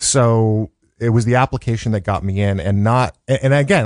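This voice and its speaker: In an American accent, a man with an ordinary speaking voice talks at a fairly low pitch with lively intonation, over a quiet background in a dry, close sound with no echo. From Chicago, South Side. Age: 50s. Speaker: educator and radio producer. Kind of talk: interview. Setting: studio.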